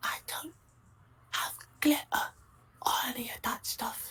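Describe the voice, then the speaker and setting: Someone whispers in a put-on character voice at a moderate pace. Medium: actual play. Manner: deadpan, literal.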